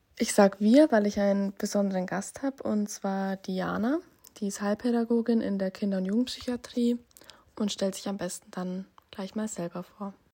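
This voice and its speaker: At a moderate pace, a woman speaks at a medium pitch with a dark, mellow, somewhat breathy tone and fairly even intonation. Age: 20s. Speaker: social work student. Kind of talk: interview.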